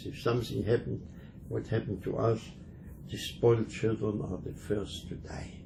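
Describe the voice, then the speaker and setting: This man has a fairly low pitch and a dark, mellow tone with vocal fry. He speaks at a moderate pace. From Germany. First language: German. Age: 80s+. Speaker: Holocaust survivor. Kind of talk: interview. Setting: museum. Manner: halting.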